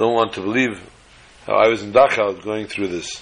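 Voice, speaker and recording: Amid noticeable background noise, a man with a fairly low pitch talks at a fairly quick pace with fairly even intonation. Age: 50s. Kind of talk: storytelling talk.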